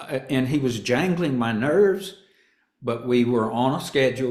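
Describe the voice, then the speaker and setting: Lively intonation marks a man speaking at a medium pitch with a Southern accent, with audible room echo. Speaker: actor and stand-up comedian. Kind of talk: interview. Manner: halting.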